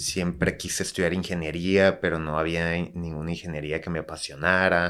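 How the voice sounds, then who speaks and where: On a very clean recording with a silent background, a man speaks in a very deep, low pitch with monotone, flat intonation at a moderate pace and hardly any pauses. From Tijuana, Mexico. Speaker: architect and bar entrepreneur. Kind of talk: casual chat.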